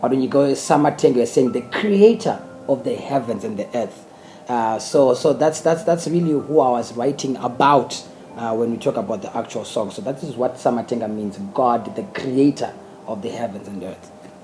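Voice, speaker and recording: A man with a Zimbabwean accent and lively intonation, over noticeable background noise. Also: medium pitch for a man, moderate pace. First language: Shona. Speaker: gospel singer. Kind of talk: interview. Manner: halting, many repeated words.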